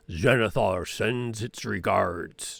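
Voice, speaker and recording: A man's raspy, put-on character voice at a medium pitch. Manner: menacing.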